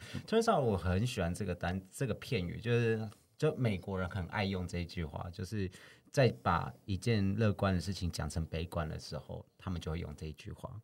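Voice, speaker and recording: A man with a Taiwanese accent speaks at a very deep, low pitch and moderate pace. His pitch varies ordinarily on a very clean recording with a silent background. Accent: Taiwanese Mandarin. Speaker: podcast co-host. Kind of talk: casual chat.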